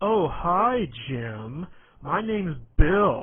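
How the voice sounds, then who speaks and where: A put-on character voice comes through raised and projected at a middle pitch. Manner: sarcastic, mocking.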